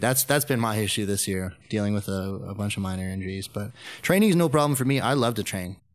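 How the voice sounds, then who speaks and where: A man with a Canadian accent talks at a fairly quick pace in a fairly low pitch with ordinary pitch variation, an unremarkable speaking voice. The recording is very clean, with a silent background. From Canada (Calgary). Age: 30s. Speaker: powerlifter and jiu-jitsu coach. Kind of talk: casual interview.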